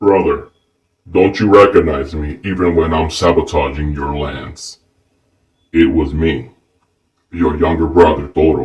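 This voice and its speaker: A man's put-on character voice, very deep and low, with fairly even intonation at a moderate pace. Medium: read story.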